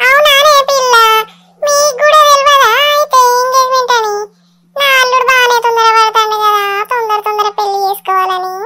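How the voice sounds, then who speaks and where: A cartoonish character voice at an extremely high pitch, with ordinary pitch variation and a moderate pace. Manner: chatty, teasing.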